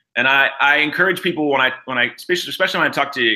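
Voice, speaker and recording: A loud man with a bright, sharp tone speaks with ordinary pitch variation on a very clean recording with a silent background. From Pittsburgh, Pennsylvania. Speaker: nonprofit founder and CEO. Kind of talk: interview. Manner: halting, many fillers.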